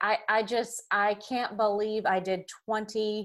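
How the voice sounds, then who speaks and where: At a medium pitch, a woman speaks in a Southern US accent. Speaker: podcast guest. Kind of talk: casual interview.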